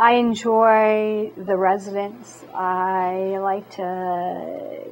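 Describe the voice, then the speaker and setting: The woman's voice sits at a medium pitch. She speaks with monotone, flat intonation. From Maine. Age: 60s. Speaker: city clerk. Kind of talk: interview.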